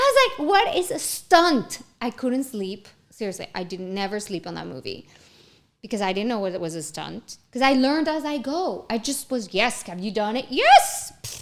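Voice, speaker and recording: In a Spanish accent, a woman with a fairly high pitch talks at a moderate pace, with very wide pitch swings and big swings in loudness. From Mexico. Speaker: actress and entrepreneur. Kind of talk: casual chat. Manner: animated.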